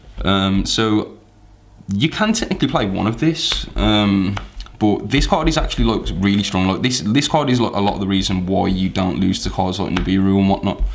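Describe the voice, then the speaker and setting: There is audible room echo as a man speaks with lively intonation. His pitch is fairly low. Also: moderate pace, very even loudness. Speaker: card game deck reviewer. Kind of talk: casual deck profile explanation. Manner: many fillers, um and like; halting, frequent self-corrections.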